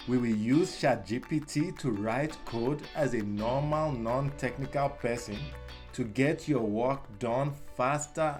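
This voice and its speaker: A man with a Nigerian accent speaks at a very slow pace in a dramatic tone, his medium pitch showing ordinary variation over music in the background. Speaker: explainer. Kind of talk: tech tutorial narration. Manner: dramatic, friendly.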